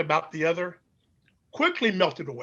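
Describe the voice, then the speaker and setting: A man with an American accent, high-pitched and bright, sharp in tone, with very wide pitch swings against a quiet background. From Chicago, US Midwest. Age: 70s. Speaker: pastor and scholar. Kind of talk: interview storytelling.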